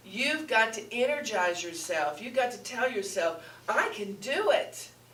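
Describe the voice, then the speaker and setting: A woman speaks at a fairly slow pace with ordinary pitch variation, amid noticeable background noise and audible room echo. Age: 70s. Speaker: spiritual teacher. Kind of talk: sermon. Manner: animated.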